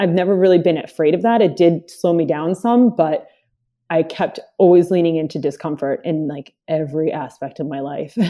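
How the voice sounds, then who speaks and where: The woman has a dark, mellow tone and fairly even intonation. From Dominican Republic. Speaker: runner and coach. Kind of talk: casual interview conversation.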